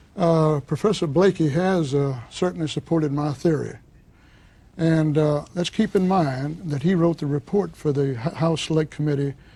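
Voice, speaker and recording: A man's dark, mellow voice at a moderate pace, with ordinary pitch variation. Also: fairly high pitch for a man. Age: 70s. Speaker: former mob lawyer, author. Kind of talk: TV interview. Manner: hesitant, many fillers.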